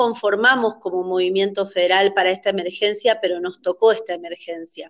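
A woman with an ordinary speaking voice talks at a moderate pace with ordinary pitch variation. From Argentina, Misiones. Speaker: dance teacher and choreographer. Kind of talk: interview.

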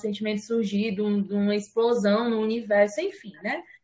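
A woman speaks at a moderate pace in a fairly high, somewhat breathy voice. Her intonation stays fairly even. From Fortaleza, Ceará, Brazil. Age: 20s. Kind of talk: casual chat.

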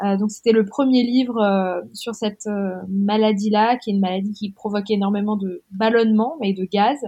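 Speaking at a moderate pace with hardly any pauses, a woman uses a medium pitch, fairly even intonation and a somewhat breathy voice. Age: 30s. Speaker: author. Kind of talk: interview conversation.

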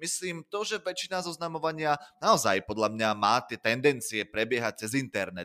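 A man at a medium pitch speaks at a moderate pace with very wide pitch swings and a bright, sharp tone. The recording is very clean, with a silent background and a dry, close sound with no echo. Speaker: podcast host. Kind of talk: casual chat.

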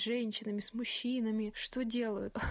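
Fairly high pitch and moderate pace in a plain, everyday voice from a woman. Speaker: podcast host. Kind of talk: casual chat. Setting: remote call.

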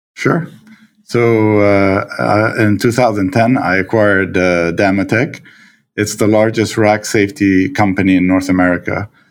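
A man with a Lebanese accent, fairly low in pitch, at a moderate pace with ordinary pitch variation and very even loudness, in a very clean recording with a silent background. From Lebanon. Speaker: stepdad and entrepreneur. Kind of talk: casual interview conversation. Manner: halting, many fillers.

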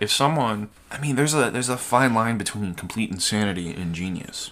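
Lively intonation at a fairly quick pace, with a slight Southern US accent. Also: man. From US South. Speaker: podcast host. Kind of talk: casual chat, storytelling.

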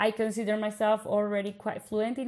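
A woman speaks with a Colombian accent. Her pitch is fairly high and her pace fairly quick. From Bogota, Colombia. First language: Spanish. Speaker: podcast host, PhD researcher. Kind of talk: casual conversational podcast chat.

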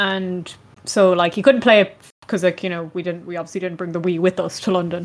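This woman has a normal speaking voice at a medium pitch. She talks at a fairly quick pace with fairly even intonation. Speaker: podcast host. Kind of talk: casual chat.

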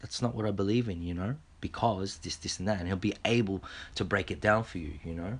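A man speaks fairly quickly with an Australian accent. His pitch is fairly low, with ordinary variation. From Australia, Filipino heritage. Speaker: podcast host. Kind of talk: casual monologue; reading aloud. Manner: halting, many repetitions and fillers.

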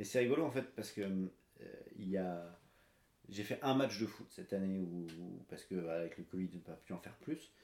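His pitch very deep and low, a man speaks at a fairly quick pace with lively intonation, broken by long, frequent pauses. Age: 30s. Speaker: amateur runner, salesman. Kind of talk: casual interview.

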